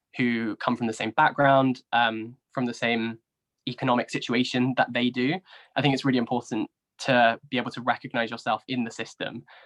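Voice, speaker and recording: In a southern English accent, the speaker talks at a fairly quick pace with monotone, flat intonation, the sound dry and close with no echo. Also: man, medium pitch for a man. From southern England. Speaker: YouTuber and university graduate. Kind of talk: interview discussion. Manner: hesitant, frequent fillers.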